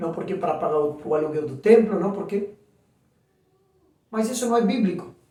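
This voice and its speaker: Audible room echo hangs around the voice. The speaker is a man. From Argentina. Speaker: pastor. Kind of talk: sermon. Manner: animated.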